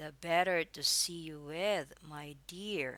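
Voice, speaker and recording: Putting on a character voice, a woman speaks very slowly in a raspy, fairly low pitch with fairly even intonation. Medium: read story. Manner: sly, put-on sweetness.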